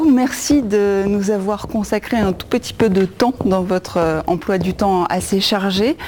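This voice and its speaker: Noticeable noise sits behind a woman speaking at a moderate pace. Her pitch varies in an ordinary way. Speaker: TV presenter. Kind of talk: interview; presenting to camera. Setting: dance studio. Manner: whispering.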